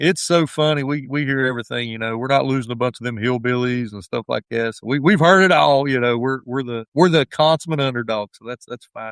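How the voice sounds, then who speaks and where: Fairly quick speech in an Appalachian accent runs with hardly any pauses and big swings in loudness. The sound is dry and close, with no echo. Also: man, medium pitch for a man, ordinary pitch variation. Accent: Appalachian twang. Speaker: high school football head coach. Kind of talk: podcast interview. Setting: at the school.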